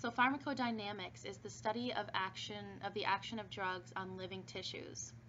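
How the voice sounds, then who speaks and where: A woman's voice with vocal fry and very wide pitch swings, in audible room echo. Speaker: pharmacology instructor. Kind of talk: recorded online lecture. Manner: fast; casual with fillers.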